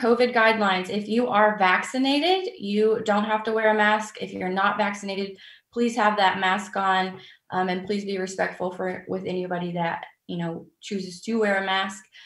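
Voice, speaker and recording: Somewhat breathy, a woman speaks with ordinary pitch variation, with audible room echo over a quiet background. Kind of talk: briefing. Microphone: webcam.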